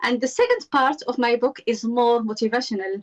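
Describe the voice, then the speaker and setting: In a dry, close sound with no echo, a woman speaks at a fairly quick pace with a fairly high pitch and fairly even intonation. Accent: Moroccan. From Morocco. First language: Arabic or Berber. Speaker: author and self-confidence coach. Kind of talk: interview conversation. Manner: hesitant, many fillers.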